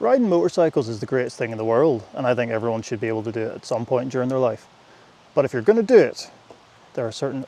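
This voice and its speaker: Speaking with a British accent, a man uses lively intonation at a medium pitch. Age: 30s. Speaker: motorcycle vlogger. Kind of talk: casual vlog talk while riding. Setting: riding a motorcycle. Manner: casual, hesitant with fillers.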